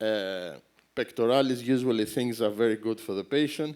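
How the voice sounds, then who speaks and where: A man speaks at a moderate pace in a Greek accent, with ordinary pitch variation. The recording is very clean, with a silent background. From Greece. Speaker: surgeon. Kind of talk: conference lecture. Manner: halting, self-correcting.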